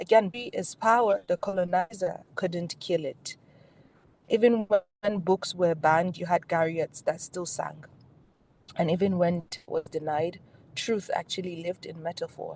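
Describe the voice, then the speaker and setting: A woman talks at a fairly slow pace with a medium pitch. Her voice is somewhat breathy, with fairly even intonation. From Nigeria. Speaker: performance poet and advocate. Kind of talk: keynote speech on poetry and health advocacy.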